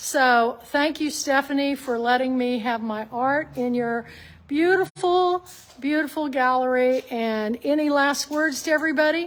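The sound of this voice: Her voice sits high in pitch. She talks at a fairly slow pace. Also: ordinary pitch variation.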